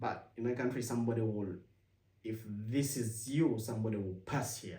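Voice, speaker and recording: A man's somewhat breathy voice at medium pitch, dark and mellow in tone, at a moderate pace with audible room echo. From Uganda. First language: Luganda. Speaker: vlogger, immigrant and former international student. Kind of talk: casual talk to camera. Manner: halting, with self-corrections.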